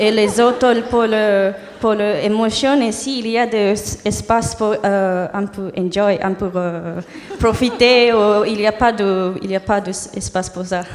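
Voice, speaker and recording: A woman with a non-native accent and a fairly high pitch, very slow pace and fairly even intonation, amid audible room echo and noticeable background noise. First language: not French (speaking French). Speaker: audience member. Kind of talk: audience question. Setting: stage with audience. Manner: halting.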